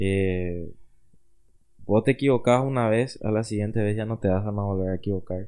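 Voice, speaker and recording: Speaking fairly slowly, a man uses a fairly low, dark, mellow voice with fairly even intonation. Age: 20s. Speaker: business student and photographer. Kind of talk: interview.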